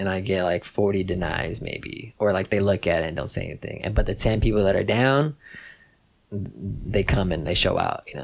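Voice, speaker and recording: The man's pitch is fairly low, his pace moderate, and his pitch variation ordinary. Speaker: rapper and producer. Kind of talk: casual chat.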